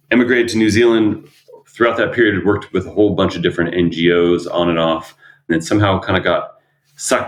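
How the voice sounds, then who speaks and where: Speaking at a very fast pace, a man with a fairly low voice talks with an American accent. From US, Arizona. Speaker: emergency management professional. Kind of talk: podcast interview. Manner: hesitant, repeats words.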